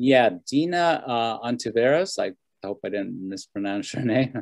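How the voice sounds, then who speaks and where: Speaking with a Spanish accent, a man talks at a fairly slow pace in a medium pitch with lively intonation. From Bolivia. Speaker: social services worker for seniors. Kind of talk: panel discussion.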